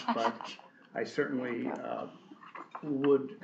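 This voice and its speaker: Noticeable background noise and audible room echo surround this recording. A man speaks at medium pitch with ordinary pitch variation. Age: 70s. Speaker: board member. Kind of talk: board meeting discussion.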